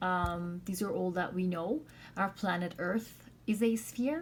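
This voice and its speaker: A woman speaks at a fairly slow pace in a somewhat breathy voice with ordinary pitch variation, and the room echo is audible. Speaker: math teacher. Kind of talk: lecture. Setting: recorded video lesson.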